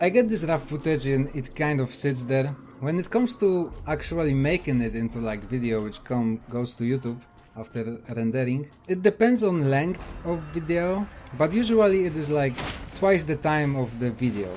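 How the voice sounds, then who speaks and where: Speaking in a Polish accent at a moderate pace, a man with a fairly high pitch uses lively intonation over noticeable background noise. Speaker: gaming YouTuber. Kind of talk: casual Q&A answers to camera.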